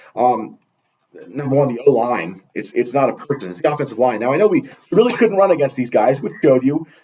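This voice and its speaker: A man's dark, mellow, medium-pitched voice with vocal fry, very wide pitch swings and a fairly quick pace. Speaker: sports podcast host. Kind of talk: casual chat.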